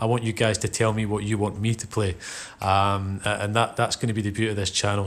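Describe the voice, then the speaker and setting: Relaxed in tone, a man speaks at a fairly low pitch with monotone, flat intonation. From Scotland. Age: 30s. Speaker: gaming youtuber. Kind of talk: casual chat. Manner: relaxed, hesitant with fillers.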